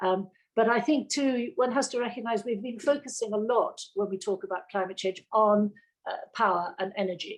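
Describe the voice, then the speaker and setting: With a New Zealand accent, a woman speaks at a moderate pace and with ordinary pitch variation. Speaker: sustainability director. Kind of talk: panel discussion. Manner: halting.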